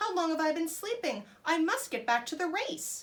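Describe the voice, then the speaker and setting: A woman puts on a squeaky character voice at an extremely high pitch, talking at a moderate pace. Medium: read story. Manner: cocky, quick.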